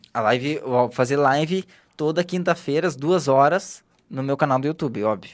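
A man with a southern Brazilian accent talks at a moderate pace and fairly high pitch. His pitch varies in an ordinary way, on a very clean recording with a silent background. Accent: gaúcho Brazilian Portuguese. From Brazil, Rio Grande do Sul (Porto Alegre). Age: 20s. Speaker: digital marketing specialist. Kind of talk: casual interview.

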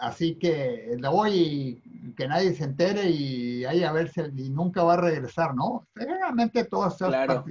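Speaking at a fairly slow pace, a man has a plain, everyday voice with a fairly high pitch. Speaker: retired university president. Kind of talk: interview conversation.

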